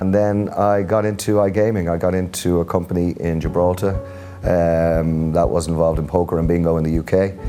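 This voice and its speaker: Music plays in the background as a man with a Dublin accent speaks at a fairly quick pace. His pitch is very deep and low, his intonation fairly even and his loudness very even. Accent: Irish (Dublin). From Dublin, Ireland. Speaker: tech company strategy executive. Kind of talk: interview answer.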